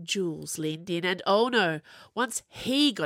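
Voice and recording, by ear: This is reading aloud in a natural voice. Lively intonation runs throughout.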